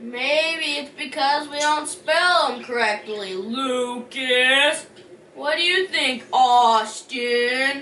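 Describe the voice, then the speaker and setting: A put-on character voice, female-sounding and high in pitch, speaks at a very slow pace. Audible echo surrounds it. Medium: comedy sketch. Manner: deadpan.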